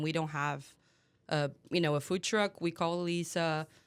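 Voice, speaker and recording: A woman with a Portuguese accent speaks at a fairly low pitch in a very clean recording with a silent background. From Brazil. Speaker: head brewer. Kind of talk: casual chat.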